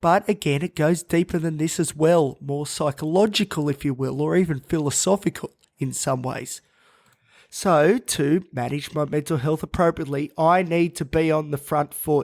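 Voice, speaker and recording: A man with an Australian accent talks at a moderate pace, his fairly high voice keeping fairly even intonation in a dry, close sound with no echo. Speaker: mental health podcast host. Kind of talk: podcast monologue.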